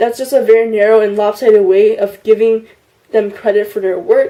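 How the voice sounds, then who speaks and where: An ordinary speaking voice from a woman, fairly high in pitch, with ordinary pitch variation and a moderate pace. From US, immigrated from China at six. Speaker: YouTuber. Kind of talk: partly scripted vlog answering tag questions. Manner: casual with frequent fillers (um, like).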